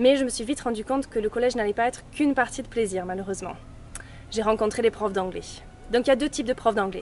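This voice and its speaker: Though her pace is very fast, the woman leaves long, frequent pauses, speaking at a fairly high pitch with ordinary pitch variation. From England, raised from age six in Gers, southwest France. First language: English (speaking French). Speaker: vlogger. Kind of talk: casual vlog narration.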